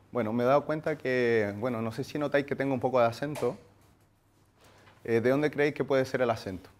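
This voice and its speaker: A man speaks at a medium pitch and a fairly quick pace with fairly even intonation. He takes long, frequent pauses. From Chile. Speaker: workshop speaker, marketing agency founder. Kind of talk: workshop talk. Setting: room with live audience. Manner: hesitant, many fillers.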